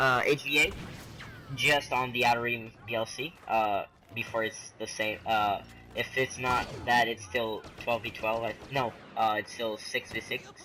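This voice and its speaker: A man speaks in a plain, everyday voice at a medium pitch, with fairly even intonation. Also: fairly slow pace. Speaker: gaming YouTuber. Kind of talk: casual gameplay commentary.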